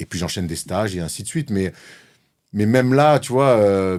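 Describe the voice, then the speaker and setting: In a Marseille accent, a man talks at a moderate pace with a fairly low pitch and lively intonation. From southern France, Marseille. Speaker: former pro basketball player turned sports media host. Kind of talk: podcast interview. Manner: outspoken, animated.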